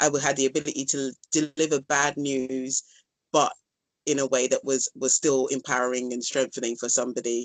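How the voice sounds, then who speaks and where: In a London accent, a woman with a very deep, low pitch talks at a moderate pace with monotone, flat intonation. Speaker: dance instructor. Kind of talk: casual interview. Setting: phone call.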